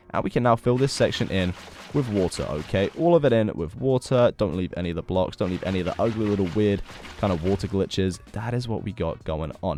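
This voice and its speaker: Over music in the background, a man talks at a fairly quick pace. His voice is fairly low, with lively intonation. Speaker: Minecraft YouTuber. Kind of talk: tutorial. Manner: animated.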